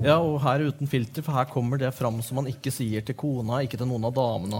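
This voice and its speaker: A man speaks very fast at a medium pitch with fairly even intonation. His voice is somewhat breathy. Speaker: literary editor and interviewer. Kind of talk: stage interview. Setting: stage with audience. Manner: halting.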